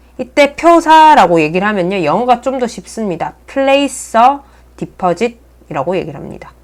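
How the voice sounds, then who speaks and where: A woman speaks with a fairly high pitch at a moderate pace. Her pitch swings very widely. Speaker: earth science teacher. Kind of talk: lecture. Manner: slightly mumbled while writing.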